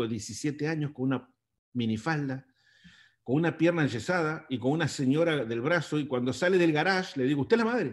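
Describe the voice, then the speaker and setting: Here is a man with a plain, everyday voice, fairly high in pitch and lively in intonation. He talks at a fairly quick pace over a quiet background. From Argentina. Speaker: long-distance motorcycle traveler; interview guest. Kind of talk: interview. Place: home room. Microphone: webcam.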